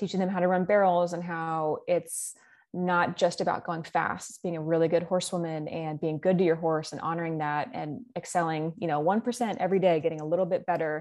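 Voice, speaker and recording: Against a quiet background, a woman with a Texan accent speaks fairly quickly in a fairly low pitch with fairly even intonation. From Texas, Dallas-Fort Worth area. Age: 20s. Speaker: western boot company content developer. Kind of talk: casual interview.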